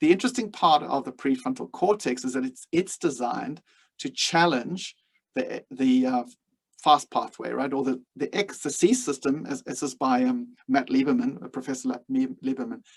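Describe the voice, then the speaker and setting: A man speaks with a South African accent. His pace is moderate. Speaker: leadership coach. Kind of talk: webinar lecture. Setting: webinar.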